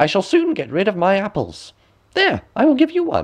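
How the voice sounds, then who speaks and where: A man's put-on character voice, high-pitched, with very wide pitch swings. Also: moderate pace. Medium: read story. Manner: scheming, sly.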